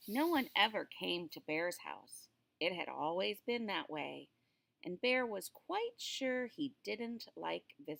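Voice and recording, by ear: Here the text is read aloud in a natural voice.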